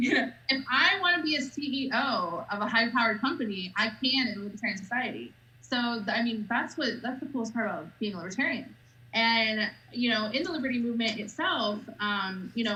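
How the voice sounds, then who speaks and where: Audible room echo surrounds a woman with a fairly high pitch. She speaks at a fairly quick pace with lively intonation. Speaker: political party spokesperson. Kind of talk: casual interview chat. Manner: loud, outspoken.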